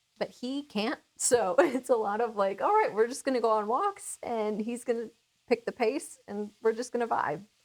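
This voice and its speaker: A woman talks at a moderate pace with fairly high pitch and ordinary pitch variation. It is an ordinary speaking voice. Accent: American. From Minnesota. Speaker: cooking channel host. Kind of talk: casual chat.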